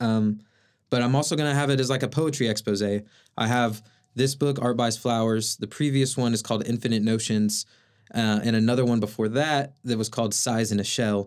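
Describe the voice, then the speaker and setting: A man with an American accent speaks in a normal speaking voice at a medium pitch and fairly quick pace. His intonation is fairly even, his loudness very even, and the recording very clean with a silent background. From Oklahoma City, Oklahoma. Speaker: artist and poet. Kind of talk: casual interview.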